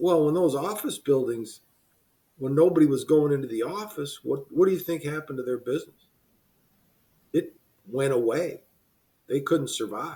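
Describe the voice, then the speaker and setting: A somewhat breathy man's voice, fairly high in pitch, with a dark, mellow tone and an American accent. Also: ordinary pitch variation, moderate pace. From US Midwest, Cleveland. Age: 70s. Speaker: business consultant. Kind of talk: podcast interview. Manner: conversational.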